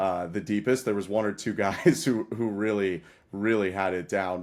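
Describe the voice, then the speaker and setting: At a moderate pace, a man with a fairly low voice speaks in a very clean recording with a silent background. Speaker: baseball play-by-play broadcaster. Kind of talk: casual interview.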